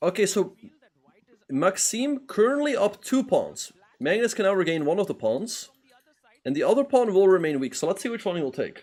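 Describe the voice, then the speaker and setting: With a Dutch accent, a man with a high pitch speaks at a moderate pace, using very wide pitch swings and long, frequent pauses. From Netherlands. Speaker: chess grandmaster and streamer. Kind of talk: live stream commentary with chat. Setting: live stream.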